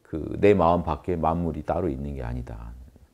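A man with a very deep, low voice is heard over a quiet background. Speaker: lecturer. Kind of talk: lecture. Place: classroom. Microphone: lapel.

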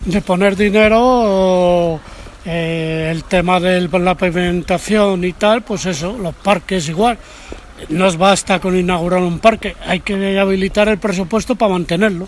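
A high-pitched man at a fairly slow pace, fairly even in intonation, with noticeable background noise. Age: old. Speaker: local resident interviewed in street. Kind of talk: street interview.

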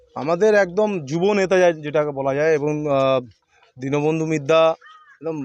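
A man with an ordinary speaking voice talks at a fairly high pitch. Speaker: politician. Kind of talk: press statement.

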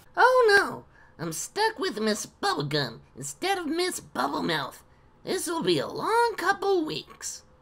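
In a put-on character voice, the speaker talks at a fairly slow pace with extremely high pitch.

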